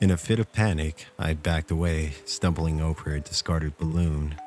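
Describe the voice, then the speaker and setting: With music in the background, a man speaks in a very deep, low pitch at a moderate pace, in a calm tone with fairly even intonation. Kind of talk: horror story narration. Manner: calm, smooth, sleep-inducing.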